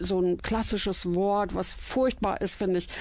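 At a fairly slow pace, a woman speaks at a medium pitch in an ordinary speaking voice. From Germany, Iserlohn (Sauerland, Westphalia). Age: 60s. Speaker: church cabaret artist. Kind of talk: radio interview, personal storytelling.

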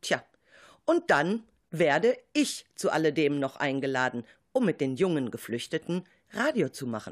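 A woman with a very deep, low pitch speaks at a fairly slow pace, her voice making very wide pitch swings. Long, frequent pauses break up the speech on a very clean recording with a silent background. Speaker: radio show host and teacher. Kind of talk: radio moderation and narration.

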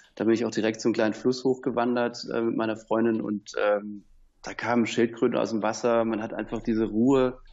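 A man speaks at a moderate pace with a medium pitch and monotone, flat intonation. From southern Germany. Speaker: surfboard dealer. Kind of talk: interview. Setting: Skype call.

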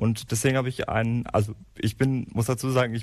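A man at a medium pitch, speaking at a fairly quick pace. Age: 30s. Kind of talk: interview. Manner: halting.

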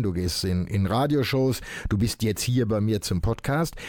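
With lively intonation, a man speaks as noticeable background noise carries on behind him. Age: 70s. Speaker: podcast host, recovered alcoholic. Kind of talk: interview. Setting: studio. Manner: halting, many fillers.

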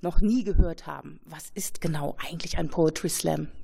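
A woman speaks with lively intonation and vocal fry. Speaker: radio host. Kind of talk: radio presentation.

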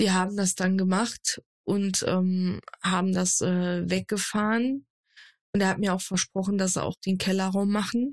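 On a very clean recording with a silent background, a woman speaks at a medium pitch in a flat monotone with very even loudness. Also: fairly slow pace. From Germany, Saarland. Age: 20s. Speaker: streamer and content creator. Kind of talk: casual chat.

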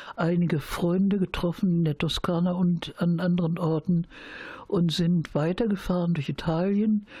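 A dark, mellow, somewhat breathy voice with fairly even intonation. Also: woman. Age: 70s. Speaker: peace activist. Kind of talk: interview storytelling. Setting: at home.

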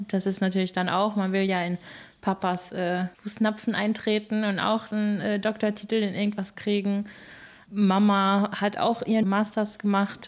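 A woman speaks at a moderate pace with a medium pitch. Her intonation is monotone and flat, and her loudness stays very even. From Germany, Moers area (born in England). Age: 20s. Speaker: singer. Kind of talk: interview.

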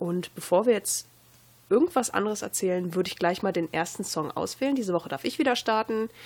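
A woman talks in an ordinary speaking voice at medium pitch, with lively intonation and a fairly quick pace. The recording is very clean with a silent background. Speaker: campus radio host. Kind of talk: casual chat.

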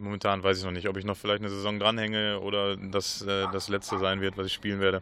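At a very fast pace with hardly any pauses, a man speaks in a monotone, flat intonation. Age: 30s. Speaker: field hockey player. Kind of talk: radio interview. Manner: halting, many repetitions.

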